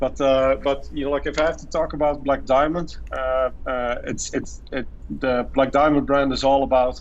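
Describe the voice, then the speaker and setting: A man at a moderate pace in a Dutch accent. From Netherlands. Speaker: marketing executive. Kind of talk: podcast interview. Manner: halting, many fillers and repetitions.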